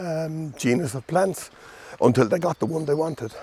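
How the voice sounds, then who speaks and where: This somewhat breathy voice has a dark, mellow tone and an Irish accent. It moves at a moderate pace with ordinary pitch variation. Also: man. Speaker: gardening video host. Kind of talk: casual plant talk. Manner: halting, many fillers.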